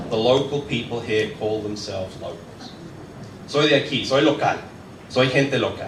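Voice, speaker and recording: A man at a medium pitch and moderate pace takes long, frequent pauses amid noticeable background noise and audible room echo. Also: ordinary pitch variation. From southern England. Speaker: tour operator, community speaker. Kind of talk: presentation talk. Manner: casual, conversational.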